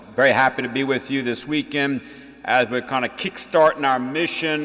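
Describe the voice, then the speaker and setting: A man with a Louisiana accent, fairly high-pitched, at a moderate pace with fairly even intonation, over noticeable background noise. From Louisiana, Cajun country (St. Landry Parish). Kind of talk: homily. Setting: church mass. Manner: folksy, conversational with fillers.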